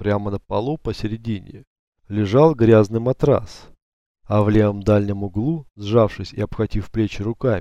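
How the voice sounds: The background is quiet. Someone reads in a natural reading voice.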